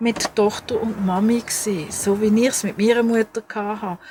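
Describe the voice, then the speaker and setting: A woman with a Swiss accent is heard in a dry, close sound with no echo. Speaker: crafts podcaster. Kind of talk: casual podcast talk.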